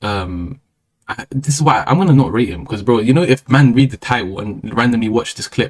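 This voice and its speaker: Speaking at a fairly quick pace with a London accent, a man uses lively intonation at a medium pitch, the sound dry and close with no echo. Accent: London multicultural English. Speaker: streamer. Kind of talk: casual monologue. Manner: fast.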